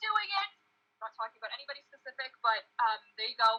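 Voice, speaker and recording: With an animated tone, a woman speaks at a high pitch and a fairly quick pace, her pitch swinging very widely. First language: not English. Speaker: mermaid performer and tail maker, video host. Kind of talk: casual chat on a livestream.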